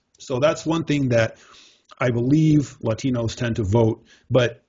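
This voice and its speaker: A man with a medium-pitched, somewhat breathy voice talks at a moderate pace with ordinary pitch variation. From Mexico. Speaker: podcast host. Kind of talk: casual chat.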